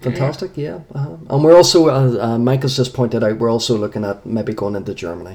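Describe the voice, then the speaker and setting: Very fast and with hardly any pauses, a man speaks with an Irish accent, lively intonation and a dark, mellow, medium-pitched voice. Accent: Irish accent, noted by host. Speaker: paranormal investigator. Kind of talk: radio interview.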